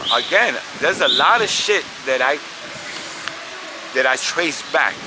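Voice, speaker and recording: A man with a New York accent at a moderate pace, his loudness very even, with noticeable background noise. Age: 60s. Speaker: hip-hop pioneer, graffiti artist. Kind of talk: interview. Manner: casual, profane storytelling.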